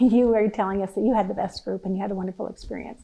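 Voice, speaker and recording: The voice is dark and mellow in tone and moves at a fairly quick pace. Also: woman. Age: 60s. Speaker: podcast host. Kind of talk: casual chat.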